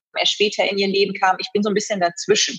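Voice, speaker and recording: A woman speaks over music in the background. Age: 30s. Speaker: event host and fitness trainer. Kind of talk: interview.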